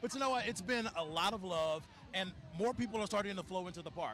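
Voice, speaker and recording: A man talks at a very fast pace in a high voice. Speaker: TV news reporter. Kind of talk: live field report. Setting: outdoors.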